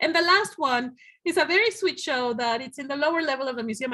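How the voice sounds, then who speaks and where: A woman talks at a very fast pace with lively intonation. Her pitch is high. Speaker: museum director. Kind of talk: presentation.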